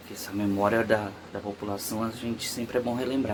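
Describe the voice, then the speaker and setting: Soft-spoken and medium-pitched, a man talks fairly quickly over noticeable background noise. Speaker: YouTuber. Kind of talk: true crime commentary. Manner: casual.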